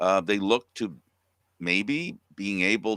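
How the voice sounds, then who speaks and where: A man speaks at a fairly low pitch with a bright, sharp tone and fairly even intonation. The recording is very clean, with a silent background and a dry, close sound free of echo. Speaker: talk show host. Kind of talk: casual sports news chat.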